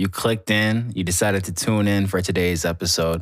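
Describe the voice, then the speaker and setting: This man talks in a normal speaking voice that sits fairly low in pitch. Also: very clean recording, silent background. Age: 20s. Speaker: music artist and podcaster. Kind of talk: casual monologue. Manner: casual, filler-heavy.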